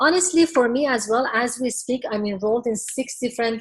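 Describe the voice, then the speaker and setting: The speaker is a woman. Her voice is somewhat breathy. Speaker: business coach. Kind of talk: webinar presentation. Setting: webinar. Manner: fast.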